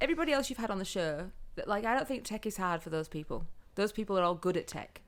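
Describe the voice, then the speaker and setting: Speaking at a very fast pace in a Yorkshire accent, a woman with a medium-pitched voice swings her pitch very widely. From northern England, Yorkshire (Huddersfield). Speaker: photographer and social media business owner. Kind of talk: casual chat.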